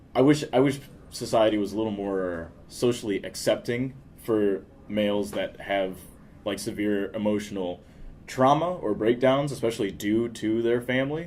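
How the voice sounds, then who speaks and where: A man with a plain, everyday voice at a medium pitch, moderate pace, and ordinary pitch variation. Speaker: podcast host. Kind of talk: casual chat. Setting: coffee shop.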